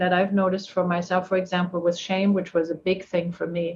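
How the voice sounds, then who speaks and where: In a German accent, a woman speaks at a fairly quick pace with a medium pitch. Her voice is somewhat breathy. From Germany. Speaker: therapist. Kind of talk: casual chat.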